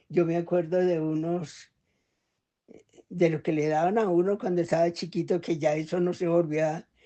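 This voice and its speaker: The woman's voice sits at a fairly low pitch. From Colombia, Valle del Cauca (Tuluá). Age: 80s+. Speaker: elderly interviewee. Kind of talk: interview. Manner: halting.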